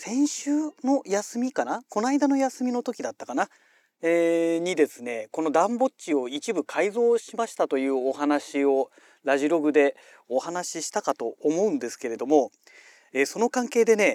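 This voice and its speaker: A man with a high pitch makes very wide pitch swings at a moderate pace. The recording is very clean, with a silent background and a dry, close sound with no echo. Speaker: podcast host. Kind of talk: casual monologue. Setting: homemade soundproof booth. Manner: chatty, many fillers.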